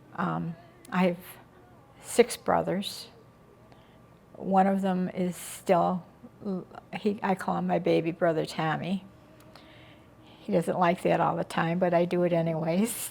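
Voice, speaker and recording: A woman speaks with an Inland North American accent. Her pace is fairly slow, with long, frequent pauses. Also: fairly low pitch for a woman, fairly even intonation. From western New York. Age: 80s+. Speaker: interviewee recounting family history. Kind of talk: oral history interview. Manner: halting.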